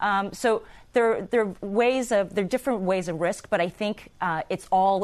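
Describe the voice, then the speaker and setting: Against a quiet background, a woman uses an unremarkable speaking voice at medium pitch, a moderate pace and ordinary pitch variation. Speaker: national security expert. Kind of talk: panel discussion.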